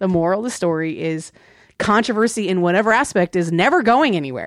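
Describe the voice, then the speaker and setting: Talking at a fairly quick pace, a woman has an American accent. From Virginia. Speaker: podcast co-host. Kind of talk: casual chat.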